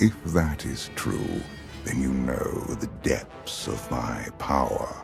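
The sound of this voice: With clear music in the background, a man uses a put-on character voice at an extremely low pitch, with vocal fry, ordinary pitch variation and a slow pace.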